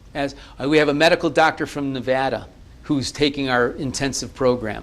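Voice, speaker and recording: Pitched fairly high, a man talks at a fairly quick pace with fairly even intonation. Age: 60s. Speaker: naprapathy college founder. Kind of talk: TV interview. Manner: halting, many repeated words.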